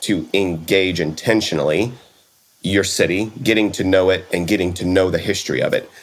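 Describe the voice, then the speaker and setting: Very deep, low male speech with normal rise and fall in pitch. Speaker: podcast host.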